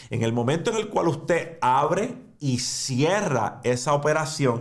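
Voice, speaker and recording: The man's voice is fairly high in pitch and somewhat breathy. The background is quiet. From Puerto Rico. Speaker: finance and crypto YouTuber; crypto YouTuber. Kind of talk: educational monologue. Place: studio.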